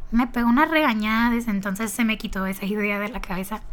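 A woman speaks with fairly even intonation. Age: young. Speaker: podcaster, marketing student. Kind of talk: casual monologue. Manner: talkative, chatty.

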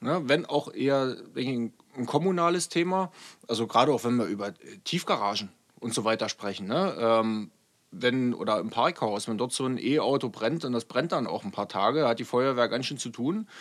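On a very clean recording with a silent background, a man with an unremarkable speaking voice talks at a moderate pace and medium pitch, with lively intonation. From eastern Germany, Saxony (Görlitz). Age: 30s. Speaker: state politician and police officer. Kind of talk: interview conversation.

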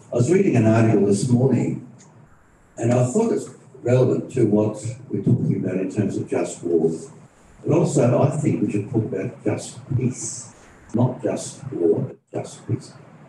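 With an ordinary speaking voice, a man talks at a moderate pace, his pitch medium and his intonation lively. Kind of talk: panel talk. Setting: stage with audience, live streamed.

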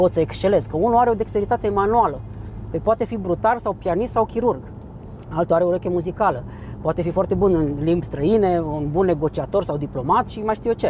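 Over noticeable background noise, a man talks at a very fast pace in a high pitch with ordinary pitch variation. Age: 40s. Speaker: psychologist and personal development trainer. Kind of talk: interview.

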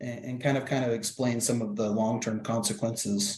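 A somewhat breathy man at a medium pitch. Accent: American. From Iowa. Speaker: coach and podcast co-host. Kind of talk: interview. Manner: halting.

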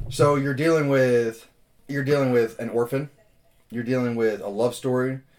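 Here a man speaks at a moderate pace. His pitch is medium, with ordinary pitch variation. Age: 20s. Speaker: podcast co-host. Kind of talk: casual chat.

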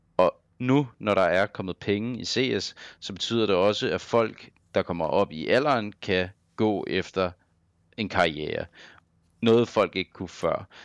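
A man speaks at a fairly slow pace in a fairly low pitch, with ordinary pitch variation and long, frequent pauses, against a quiet background. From Denmark, Copenhagen. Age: 30s. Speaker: professional esports player. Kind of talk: casual interview. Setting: online call.

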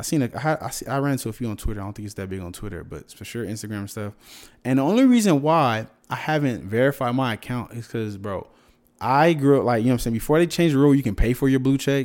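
A man with an American accent, very fast, with big swings in loudness, in a very clean recording with a silent background. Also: medium pitch for a man, ordinary pitch variation. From Southern California. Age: 20s. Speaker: YouTuber and influencer. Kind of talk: casual chat.

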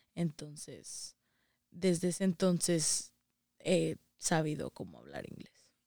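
With vocal fry and a dark, mellow tone, a woman speaks at a very deep, low pitch and a very slow pace, with long, frequent pauses and fairly even intonation, in a dry, close sound with no echo. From Saltillo, Coahuila, northern Mexico. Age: young. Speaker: daughter of migrants. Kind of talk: interview.

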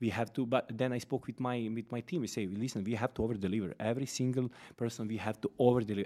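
At a very fast pace with hardly any pauses, a man with a Serbian accent speaks at a medium pitch in a dark, mellow tone, his intonation fairly even on a very clean recording with a silent background. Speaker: fitness company founder, former karate champion. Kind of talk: casual interview.

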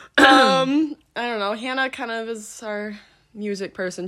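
Speaking at a fairly slow pace with lively intonation, a woman has a normal speaking voice. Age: 18. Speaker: podcast host.

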